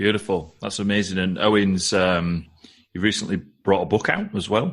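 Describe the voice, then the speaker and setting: With a northern English accent, a man speaks at a moderate pace. His pitch is fairly low and his intonation fairly even. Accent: northern English, stands out in London. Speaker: podcast host. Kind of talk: podcast interview. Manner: casual, many fillers.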